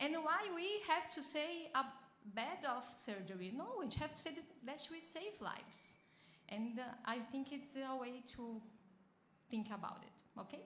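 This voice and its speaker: Lively intonation comes through with long, frequent pauses and audible room echo. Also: woman, high pitch for a woman. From Brazil. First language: Portuguese. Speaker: bariatric surgeon, audience member at a panel. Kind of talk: audience question and answer at a conference panel. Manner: halting, with repetitions.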